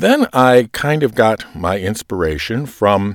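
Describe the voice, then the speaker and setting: A man in a dry, close sound with no echo. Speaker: lector and podcaster. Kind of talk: podcast monologue about lector craft. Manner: filler words, reflective.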